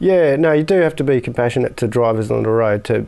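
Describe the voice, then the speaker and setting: With an Australian accent, a man talks in a dark, mellow tone at medium pitch, his intonation lively. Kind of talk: casual chat.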